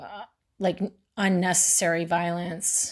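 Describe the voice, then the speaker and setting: Against a quiet background, a woman speaks with an American accent at a fairly slow pace. Her pitch is fairly low and her intonation monotone and flat. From Texas, Houston. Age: 40s. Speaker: true crime podcaster. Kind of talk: monologue narrating a true crime case. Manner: halting, many fillers.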